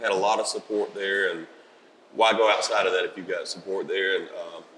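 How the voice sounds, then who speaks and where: He speaks with a Southern US accent. His pace is fairly quick. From US South, South Carolina (Rock Hill). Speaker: country musician. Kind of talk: interview. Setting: at a music festival.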